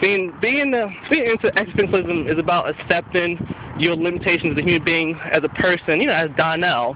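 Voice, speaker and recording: Noticeable background noise sits behind a man with a high pitch. He talks at a fairly quick pace with lively intonation. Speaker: college student. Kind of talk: personal reflection. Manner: halting, repeats words.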